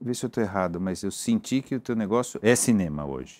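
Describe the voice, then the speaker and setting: With ordinary pitch variation, a man's words come fairly quickly. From Brazil. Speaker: interviewer, talk show host. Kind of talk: interview. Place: office. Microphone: lapel.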